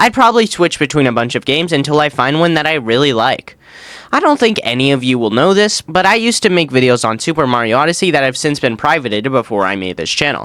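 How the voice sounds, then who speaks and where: A man's fairly high, bright and sharp voice at a very fast pace, with very wide pitch swings. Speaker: gaming YouTuber. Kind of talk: Q&A video narration. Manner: casual, conversational.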